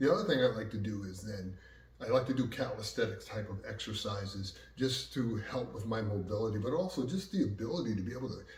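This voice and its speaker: A man with an American accent speaks at a medium pitch and a fairly quick pace. His intonation is lively, and audible room echo can be heard. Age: 60s. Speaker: martial arts instructor. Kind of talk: casual talk to camera. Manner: conversational, filler-heavy.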